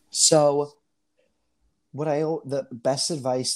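A man speaks with a strong New York accent and a dark, mellow tone. The recording is very clean, with a silent background. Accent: Staten Island accent, stronger than ever. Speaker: Broadway performer and teacher. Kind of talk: interview. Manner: halting, filler-heavy.

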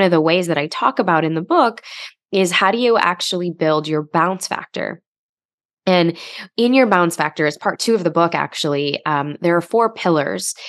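With an American accent, a woman talks at a moderate pace and a fairly low pitch. She has a normal speaking voice with ordinary pitch variation. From US Midwest, Chicago. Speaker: author and emotional health coach. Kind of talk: interview conversation.

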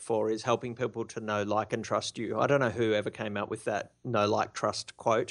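Against a quiet background, a man with an Australian accent speaks at a medium pitch and a moderate pace, his intonation monotone and flat. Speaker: blogging expert, blog founder. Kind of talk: interview. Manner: soft-spoken.

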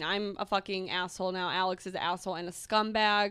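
Here is an ordinary speaking voice: a woman with an American accent talking at a fairly quick pace and medium pitch, with ordinary pitch variation. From Minnesota. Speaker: pop culture podcast host. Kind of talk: casual chat.

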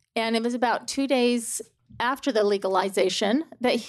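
With an American accent, a woman speaks in a plain, everyday voice at a fairly high pitch, a moderate pace and ordinary pitch variation against a quiet background. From Utah. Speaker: mother. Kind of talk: testimony.

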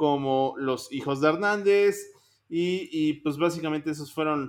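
Very slow, high-pitched speech from a man, with ordinary pitch variation. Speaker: music podcast host. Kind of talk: casual chat.

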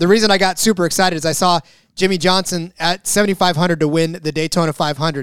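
The sound is dry and close with no echo as a man speaks at a very fast pace. His pitch is high and his intonation fairly even. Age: 40s. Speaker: sports betting podcast co-host. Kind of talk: casual chat.

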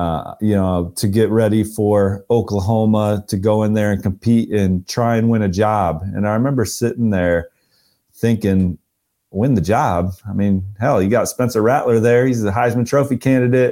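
A man talks at a moderate pace in a dark, mellow tone with a fairly low pitch. His intonation is fairly even and his loudness very even. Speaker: college football recruiting analyst. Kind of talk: casual chat.

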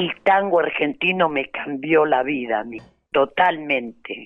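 A woman's voice with very wide pitch swings. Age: 80s+. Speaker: tango dancer. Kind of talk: interview. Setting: phone or remote call.

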